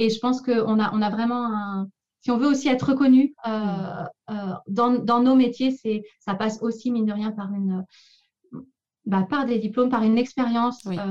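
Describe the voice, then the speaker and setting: With long, frequent pauses, a woman speaks at a moderate pace in a somewhat breathy, fairly high voice with fairly even intonation. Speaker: speech therapist and doctoral researcher. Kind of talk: interview. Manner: halting with many repetitions.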